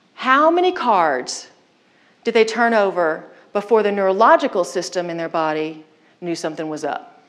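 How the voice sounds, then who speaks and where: The voice is an unremarkable speaking voice with lively intonation, delivered at a moderate pace. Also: woman, medium pitch for a woman. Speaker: keynote speaker. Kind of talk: keynote speech on leadership.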